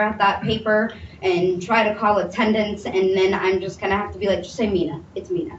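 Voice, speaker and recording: With audible room echo and noticeable background noise, a woman's speech comes at a fairly quick pace. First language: Somali. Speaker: mental health panel speaker. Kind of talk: testimony. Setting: panel presentation with audience.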